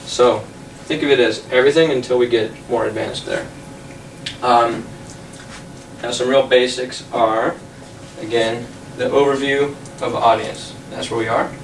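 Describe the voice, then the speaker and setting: Amid audible room echo and noticeable background noise, a man at medium pitch speaks at a moderate pace with fairly even intonation and long, frequent pauses. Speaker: tech talk presenter. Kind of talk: lecture.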